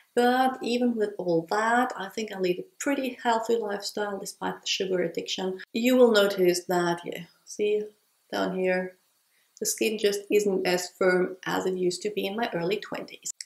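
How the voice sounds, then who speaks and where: Audible room echo surrounds a woman speaking at medium pitch. She keeps a moderate pace and fairly even intonation. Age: 30s. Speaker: beauty vlogger. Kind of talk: tutorial. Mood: candid, lightly humorous. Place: home room.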